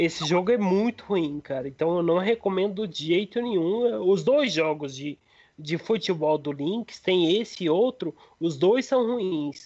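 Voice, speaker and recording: Lively intonation marks a man's high-pitched voice as he talks at a fairly slow pace. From Brazil, Minas Gerais interior (Frutal). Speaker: retro gaming enthusiast. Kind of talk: casual chat.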